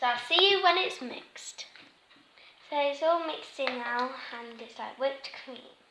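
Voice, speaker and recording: A woman speaks in a raised, projected voice at a high pitch and a moderate pace, with lively intonation and big swings in loudness. Her long, frequent pauses come through over noticeable background noise. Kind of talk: casual craft tutorial talk to camera.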